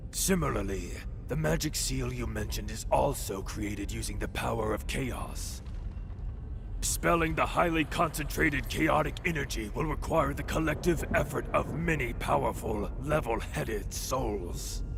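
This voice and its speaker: A man's put-on character voice at a moderate pace, over loud background noise. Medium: video game. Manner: solemn, cryptic.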